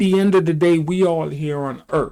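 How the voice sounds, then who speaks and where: The recording is very clean, with a silent background. A man with an ordinary speaking voice talks at a fairly high pitch and a fairly slow pace. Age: 60s. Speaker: video commentator. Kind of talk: opinion commentary reacting to clips.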